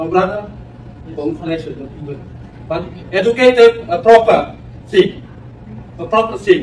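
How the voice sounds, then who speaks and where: The man's intonation is lively, and noticeable noise sits behind him. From West Papua. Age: 70s. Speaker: former independence movement official. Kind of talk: public debate remarks. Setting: university campus audience. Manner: emphatic; halting.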